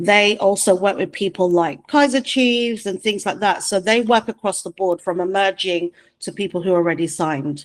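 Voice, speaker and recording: A woman talks at a moderate pace with hardly any pauses, at a medium pitch with ordinary pitch variation. She has an unremarkable speaking voice, and the sound is dry and close with no echo. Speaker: music manager. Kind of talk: online presentation. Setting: video call.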